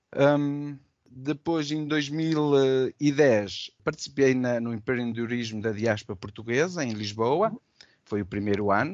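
At a very slow pace, a man talks in a medium pitch. His pitch shows ordinary variation. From Portugal. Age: 40s. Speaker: business owner. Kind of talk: interview. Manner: halting.

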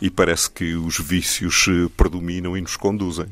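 A man speaks in a very deep, low voice with flat, monotone intonation and a European Portuguese accent, recorded very cleanly against a silent background. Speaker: poet and translator. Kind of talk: poet reading own poems aloud, then interview. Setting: radio studio. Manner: measured, solemn, declamatory reading; reflective, somewhat halting in conversation.

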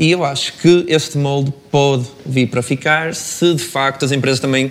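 The voice is a man's, pitched at a medium level. Noticeable noise sits in the background. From northern Portugal, Braga. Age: 20s. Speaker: master's student. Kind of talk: panel discussion.

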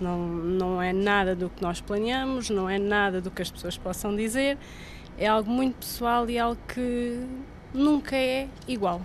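Audible room echo fills the space around a woman. She speaks at a fairly slow pace. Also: medium pitch for a woman, ordinary pitch variation. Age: 30s. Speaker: mother. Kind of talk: testimony.

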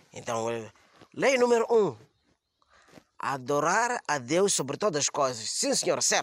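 A man with very wide pitch swings. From Mozambique. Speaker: comedian. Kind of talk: comedy monologue. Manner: halting.

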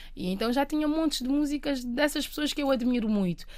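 High pitch from a woman, with ordinary variation in pitch. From Cape Verde. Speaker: singer-songwriter. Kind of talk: interview. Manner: halting.

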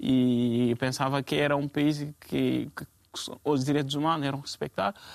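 The recording is very clean and the background silent. It is a man talking. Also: dry, close sound with no echo. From Guinea (Conakry). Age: 20s. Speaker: refugee. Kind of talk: panel discussion. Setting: TV studio. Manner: halting.

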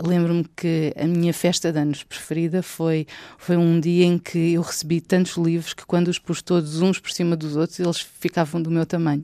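With a European Portuguese accent, a woman speaks at a fairly low pitch and moderate pace, with hardly any pauses. Her tone is dark and mellow, her intonation monotone and flat, and the sound is dry and close with no echo. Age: 40s. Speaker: children's book author and journalist. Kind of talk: personal storytelling for children.

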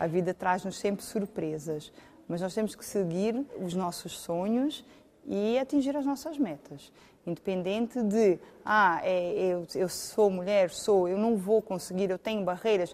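With a normal speaking voice, a woman speaks at a fairly slow pace, her medium pitch carried by lively intonation. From Portugal, Algarve. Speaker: lawyer and community association president. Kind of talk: interview.

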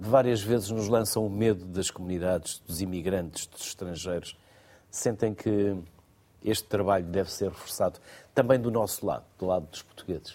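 Using a dark, mellow tone, a man speaks at a fairly low pitch and moderate pace, with ordinary pitch variation and big swings in loudness. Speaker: radio host. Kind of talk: moderated interview discussion. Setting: studio.

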